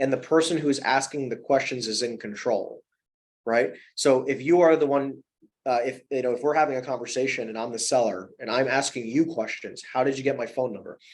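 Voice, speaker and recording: A man with an American accent speaks at a medium pitch. His pitch varies in an ordinary way. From New Jersey. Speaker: commercial real estate broker. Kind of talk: interview. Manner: fast; animated.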